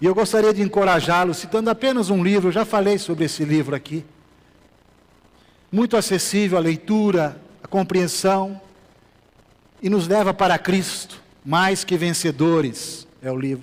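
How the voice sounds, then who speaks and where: Fairly slow and high-pitched, a man talks. He leaves long, frequent pauses. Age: 60s. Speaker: pastor. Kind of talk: sermon. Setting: church.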